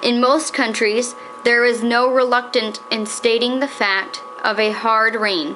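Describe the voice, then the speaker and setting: Noticeable background noise sits behind a woman with a fairly high pitch. She talks at a fairly slow pace, with ordinary pitch variation and very even loudness. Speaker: daughter reading aloud. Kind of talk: period magazine reading aloud. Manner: steady, formal, measured.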